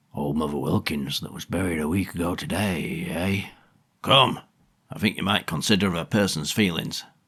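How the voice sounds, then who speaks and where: Putting on a character voice, a man speaks at a moderate pace in a raspy, very deep, low pitch. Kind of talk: rustic country dialect. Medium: read story. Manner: chiding, tactful.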